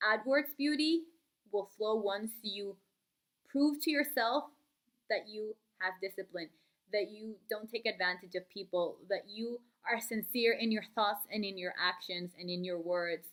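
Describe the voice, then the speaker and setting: A woman speaking at a fairly slow pace, with long, frequent pauses. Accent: non-native. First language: not English. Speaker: book vlogger. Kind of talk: casual vlog talk. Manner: hesitant, many fillers.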